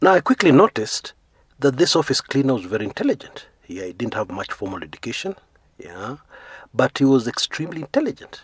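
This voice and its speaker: With vocal fry and a medium pitch, a man talks at a very fast pace, with very wide pitch swings and big swings in loudness, in a dry, close sound with no echo. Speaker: YouTube storyteller, former magazine editor. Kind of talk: biographical storytelling. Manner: casual, frequent filler 'yeah'.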